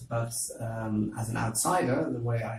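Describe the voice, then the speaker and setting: A man's medium-pitched, somewhat breathy voice. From Netherlands, Amsterdam. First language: Dutch. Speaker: university lecturer. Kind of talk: interview. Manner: hesitant, many fillers.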